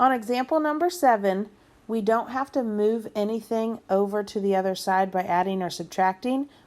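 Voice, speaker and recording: This is a plain, everyday voice with ordinary pitch variation. It moves at a moderate pace. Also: woman, fairly high pitch for a woman. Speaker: math teacher. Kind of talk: tutorial.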